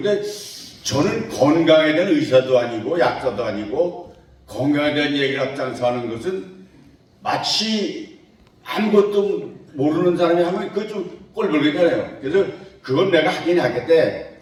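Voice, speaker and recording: A man talks at a moderate pace, his fairly high voice rising and falling in lively intonation, with audible room echo and noticeable background noise around him. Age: 80s+. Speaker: retired civil servant and lecturer. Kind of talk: lecture. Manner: casual, conversational.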